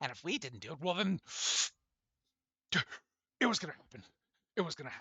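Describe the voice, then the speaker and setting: A man puts on a raspy, high-pitched character voice with very wide pitch swings. He talks at a very fast pace yet leaves long, frequent pauses. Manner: eerie, menacing.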